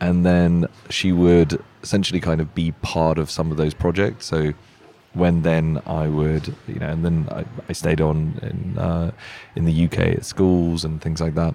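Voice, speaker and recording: A man's very deep, low voice at a fairly slow pace, intonation fairly even. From Czech Republic. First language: Czech. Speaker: tech company founder. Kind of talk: interview. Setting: live at a hotel event.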